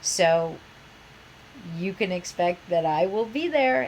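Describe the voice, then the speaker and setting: There is clear background noise in this clip. Over it, a woman talks with an American accent. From US Midwest, Iowa. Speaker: university professor. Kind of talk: online course introduction. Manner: animated.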